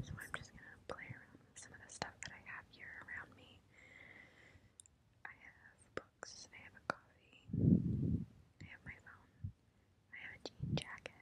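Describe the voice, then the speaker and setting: The woman whispers at a moderate pace, stopping often for long pauses. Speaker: ASMR creator. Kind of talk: ASMR video. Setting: library. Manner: whispered; quiet, soft-spoken. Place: hall. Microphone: lapel.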